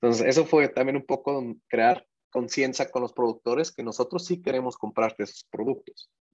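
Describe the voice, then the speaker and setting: Medium-pitched man at a moderate pace, with ordinary pitch variation, in a dry, close sound with no echo. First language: not Spanish (speaking Spanish). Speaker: startup founder and CEO. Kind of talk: interview. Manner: halting.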